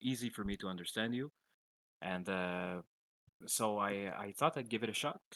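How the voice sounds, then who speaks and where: A man with a French accent speaks in a fairly low, bright, sharp voice with ordinary pitch variation and big swings in loudness. He pauses often and at length, and the sound is dry and close with no echo. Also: moderate pace. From French-speaking country. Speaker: coaching client, gamer. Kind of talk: casual chat. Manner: halting.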